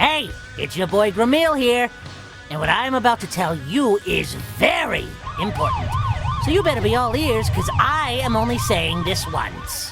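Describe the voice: A cartoonish character voice at a fairly slow pace, with very wide pitch swings, a fairly bright tone and faint music in the background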